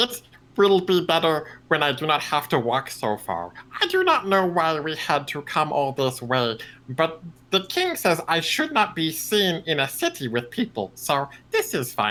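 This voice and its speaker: A man puts on a character voice at a fairly high pitch. He keeps a moderate pace. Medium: actual play. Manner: halting, simple, formal speech without contractions.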